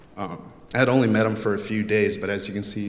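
Audible room echo surrounds a man with an American accent who speaks fairly quickly at a fairly low pitch. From Texas, US. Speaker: college student. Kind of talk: speech. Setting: chapel with audience.

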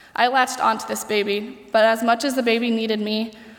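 A woman at a fairly high pitch and fairly quick pace, flat and monotone, with noticeable background noise. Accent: Midwestern American. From Ohio, US. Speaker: college senior, nursing student. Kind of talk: speech.

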